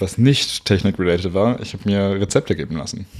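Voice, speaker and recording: Heard in a very clean recording with a silent background, a man uses a normal speaking voice with a fairly low pitch. He talks at a fairly quick pace with ordinary pitch variation. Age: 20s. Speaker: podcast guest, volunteer tour guide. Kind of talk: casual chat. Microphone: poor audio quality.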